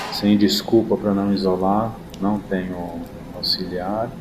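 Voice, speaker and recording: A man talks at a fairly slow pace in a very deep, low voice. Both audible room echo and noticeable background noise are present. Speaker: dentist. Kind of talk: tutorial. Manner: casual.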